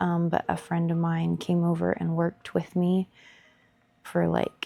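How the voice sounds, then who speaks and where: A woman speaks quietly, her sound dry and close with no echo. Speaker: artist and art video creator. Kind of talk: casual voiceover chat while painting. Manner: quiet, hushed; rambling, filler-heavy.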